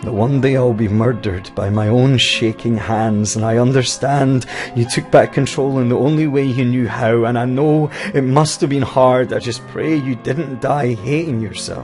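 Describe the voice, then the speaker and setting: Over music in the background, a man with a Scottish accent talks at a moderate pace in a medium pitch with fairly even intonation. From Scotland. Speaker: slam poet. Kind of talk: spoken word poetry performance. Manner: emotional.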